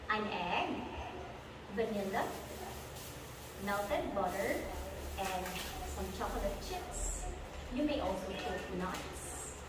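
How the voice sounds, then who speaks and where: Through loud background noise and audible room echo, a woman talks at a very slow pace with long, frequent pauses. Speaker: presenter. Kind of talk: tutorial. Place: kitchen. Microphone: camera far.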